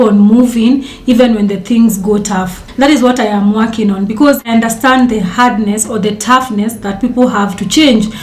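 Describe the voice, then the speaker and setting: A woman talks with a fairly high pitch and fairly even intonation. Noticeable background noise and audible room echo surround her. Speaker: dietitian and content creator. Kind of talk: casual talk to camera. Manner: fast.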